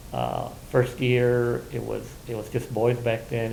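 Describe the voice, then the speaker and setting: There is audible room echo around this voice. A man talks at a fairly slow pace. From Southern California (Colton, Inland Empire). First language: Spanish. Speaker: oral history interviewee, Navy veteran. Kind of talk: oral history interview. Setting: university library room. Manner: halting, many fillers and repetitions.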